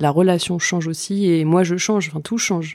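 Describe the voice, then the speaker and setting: Her intonation fairly even, a woman is speaking. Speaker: journalist and novelist. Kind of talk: casual chat. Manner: halting.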